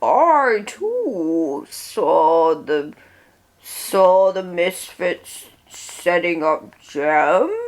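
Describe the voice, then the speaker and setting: Someone uses a put-on character voice at a middle pitch and a very slow pace. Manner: secretive, dramatic.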